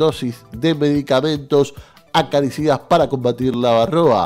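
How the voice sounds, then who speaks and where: Faint music plays behind a man's voice. His intonation stays fairly even. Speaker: radio news presenter. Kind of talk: radio news reading. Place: studio.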